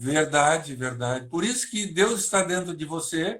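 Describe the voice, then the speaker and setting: This is a man's voice. His pitch is high. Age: 70s. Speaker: psychologist and hypnotist. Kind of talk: interview. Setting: online live stream.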